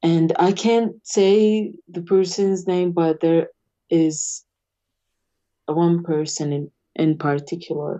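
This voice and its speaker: With an Iraqi accent, a woman speaks at a fairly low pitch and a very slow pace. Long, frequent pauses break up her speech. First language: Arabic. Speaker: atheist activist, immigrant. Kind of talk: interview. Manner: halting, many fillers.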